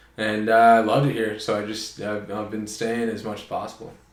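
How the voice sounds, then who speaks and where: A man with a Canadian accent, fairly low in pitch, talking at a fairly quick pace amid audible room echo. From Ontario, Canada (Oakville). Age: 20s. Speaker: podcast guest. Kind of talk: casual chat. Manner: loud.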